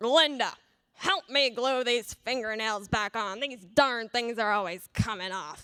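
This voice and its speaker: A put-on character voice carries the speech. It moves along fairly slowly. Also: woman, fairly high pitch for a woman. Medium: read story.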